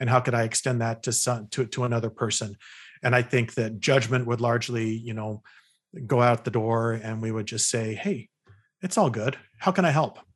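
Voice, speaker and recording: A man with a normal speaking voice and an American accent, medium in pitch, at a moderate pace with fairly even intonation against a quiet background. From California. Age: 50s. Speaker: psychologist and author. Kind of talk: interview conversation.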